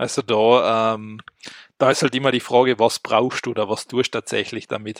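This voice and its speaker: A man with an Austrian accent, medium pitch and monotone, flat intonation, at a moderate pace, in a dry, close sound with no echo. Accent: speaks Austrian dialect. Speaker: tech podcast co-host. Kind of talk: casual chat.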